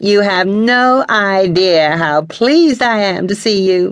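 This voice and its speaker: Someone uses a robotic, put-on character voice at a middle pitch and a fairly slow pace. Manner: formal, effusive.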